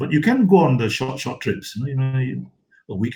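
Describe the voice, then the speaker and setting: Talking at a very fast pace, a man with a dark, mellow tone and a somewhat breathy voice uses lively intonation. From Malaysia. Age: 70s. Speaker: photographer. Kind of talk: interview conversation.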